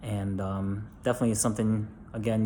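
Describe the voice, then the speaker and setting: Quiet, somewhat breathy whispering from a man with an American accent, with audible room echo. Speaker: DIY video maker, parent. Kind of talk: casual tutorial. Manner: whispering, quiet; hesitant, many fillers.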